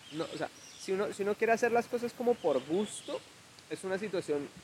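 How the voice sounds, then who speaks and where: With lively intonation, the delivery runs fairly quickly. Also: man. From Colombia, Ibagué (Tolima). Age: 20s. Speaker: music producer. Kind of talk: casual chat.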